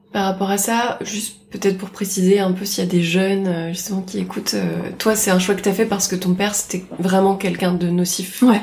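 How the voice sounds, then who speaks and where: A woman's medium-pitched, monotone, flat voice at a fairly quick pace, hardly any pauses, with audible room echo and noticeable background noise. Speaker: host's best friend. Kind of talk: casual chat, interviewing the host. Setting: home of the host's friend.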